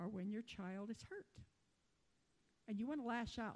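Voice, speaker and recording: With ordinary pitch variation, a somewhat breathy voice carries a dark, mellow tone. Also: woman. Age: 60s. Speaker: lay preacher. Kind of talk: sermon. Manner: casual with hesitations.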